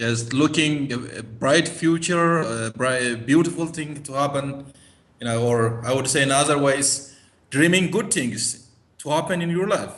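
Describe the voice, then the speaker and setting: A man's fairly high-pitched voice at a moderate pace, with ordinary pitch variation and audible room echo. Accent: Ethiopian. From Ethiopia. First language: Gamo. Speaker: interview guest. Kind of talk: interview.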